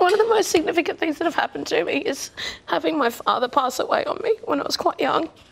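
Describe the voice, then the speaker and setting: A woman's extremely high-pitched, very fast voice with very wide pitch swings and noticeable background noise. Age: young. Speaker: reality show contestant. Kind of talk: personal testimony.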